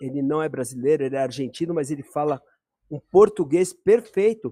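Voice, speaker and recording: A man's dark, mellow voice with lively intonation at a moderate pace, dry and close with no echo. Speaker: live stream host, electronics repair. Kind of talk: online debate. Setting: live stream. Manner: halting.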